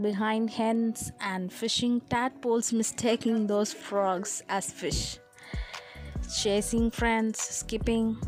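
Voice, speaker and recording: Music plays in the background as a woman talks at a very slow pace. Her pitch is fairly high and her intonation fairly even. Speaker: grandmother storyteller. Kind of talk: children's storytelling, narrating life memories.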